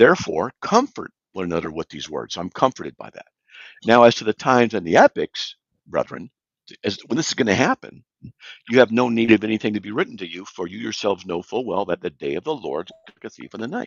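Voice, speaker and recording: Lively in intonation, a man speaks very fast with vocal fry. His loudness swings widely. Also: medium pitch for a man. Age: 60s. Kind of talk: live talk show discussion. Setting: live online broadcast.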